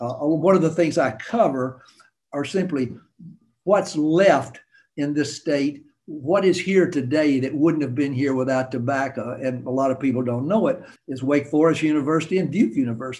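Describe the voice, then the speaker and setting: A man with a North Carolina accent at a moderate pace. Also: fairly high pitch for a man, ordinary pitch variation. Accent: Southern US, North Carolina. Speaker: storyteller, author and financial analyst. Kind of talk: interview answer. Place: home room. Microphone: webcam.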